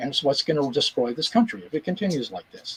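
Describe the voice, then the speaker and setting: A man with an American accent, a fairly high pitch and very wide pitch swings, in a dry, close sound with no echo. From US, Pittsburgh. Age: 70s. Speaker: musician. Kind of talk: interview. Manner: halting.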